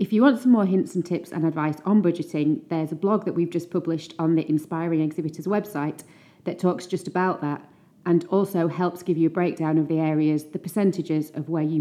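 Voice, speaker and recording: A woman with an unremarkable speaking voice, fairly low-pitched, fairly quick, and fairly even in intonation. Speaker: podcast host. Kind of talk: scripted intro and interview.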